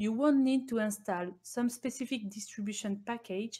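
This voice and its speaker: With fairly even intonation and a somewhat breathy quality, a woman talks fairly high in pitch at a moderate pace. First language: not English. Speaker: embedded Linux engineer presenting at a conference. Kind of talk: technical conference talk. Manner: formal.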